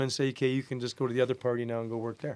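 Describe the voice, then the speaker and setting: This is a man speaking with a Canadian accent. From Canada. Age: 60s. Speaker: golf caddy. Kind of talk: casual chat. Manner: halting, many fillers.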